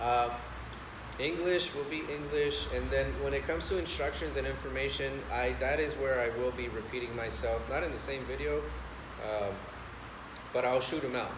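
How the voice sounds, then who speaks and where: With a Spanish accent, a man talks at a moderate pace with long, frequent pauses, over noticeable background noise and audible room echo. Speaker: channel owner, industry vlogger. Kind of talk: casual vlog monologue. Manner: halting, many fillers.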